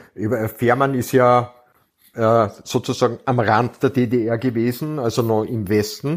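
This is a man with a normal speaking voice. His pitch sits at a medium level, and his intonation is fairly even. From Austria. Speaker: crime novelist. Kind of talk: casual chat.

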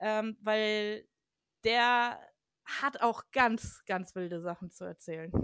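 A woman at a fairly high pitch and very slow pace with ordinary pitch variation, in a dry, close, very clean recording with a silent background and no echo. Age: 30s. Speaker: urban explorer and photographer. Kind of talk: casual chat.

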